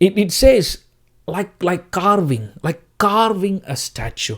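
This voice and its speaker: The man's pace is very slow. Lively intonation runs through his speech. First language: Tamil. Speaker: preacher. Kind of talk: sermon.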